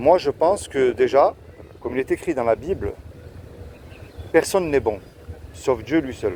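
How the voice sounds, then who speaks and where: The man's intonation is lively. He talks with a fairly high pitch. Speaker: street evangelist youtuber. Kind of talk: street evangelism conversation. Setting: outdoors in the street.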